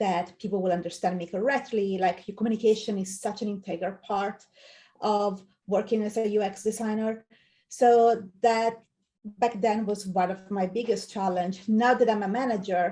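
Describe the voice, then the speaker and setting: A woman with an Italian accent speaks at a moderate pace and medium pitch, her dark, mellow tone carrying fairly even intonation. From Italy. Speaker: UX design manager. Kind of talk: interview.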